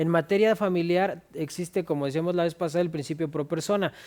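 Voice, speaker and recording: A man's high-pitched, dark, mellow voice at a very fast pace, in a very clean recording with a silent background. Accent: Mexican. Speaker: lawyer co-host. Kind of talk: casual legal discussion.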